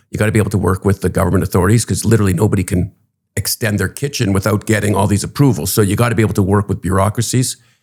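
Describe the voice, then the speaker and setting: Fairly low in pitch, a man with a Canadian accent talks at a very fast pace. His voice is somewhat breathy, with ordinary pitch variation. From Canada, Toronto. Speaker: real estate executive. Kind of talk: interview. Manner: hesitant, many fillers.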